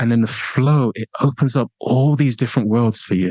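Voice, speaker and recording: With an English accent, a man speaks at a medium pitch and moderate pace. Pitch variation is ordinary, and the sound is dry and close with no echo. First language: a language other than English. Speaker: international speaker and online marketing expert. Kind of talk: podcast interview. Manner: animated.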